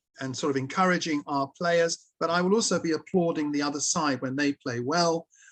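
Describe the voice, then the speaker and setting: With a southern English accent, a man at a fairly high pitch speaks with hardly any pauses in a dry, close sound with no echo. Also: ordinary pitch variation, fairly quick pace. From London. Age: 70s. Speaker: table tennis league secretary. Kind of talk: interview. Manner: halting.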